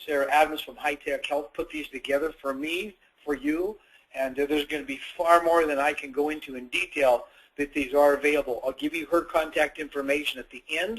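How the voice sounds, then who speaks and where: Here is a man with a plain, everyday voice, pitched fairly high and moving at a fairly quick pace. His intonation stays fairly even while his loudness swings widely. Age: 60s. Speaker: chiropractor and wellness educator. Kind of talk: webinar lecture. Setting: webinar. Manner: conversational, with self-corrections.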